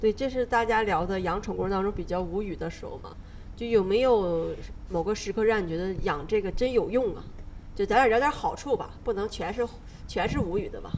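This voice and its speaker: A woman's unremarkable speaking voice at medium pitch, fairly quick, with ordinary pitch variation and big swings in loudness. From Northeast China. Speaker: podcast host. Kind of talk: casual chat; podcast outro.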